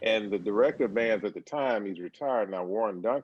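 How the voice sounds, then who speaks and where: A man with an Alabama accent, fairly low pitch and a fairly quick pace. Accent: Southern US (Alabama). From US South, Birmingham, Alabama. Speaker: percussion professor. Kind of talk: interview.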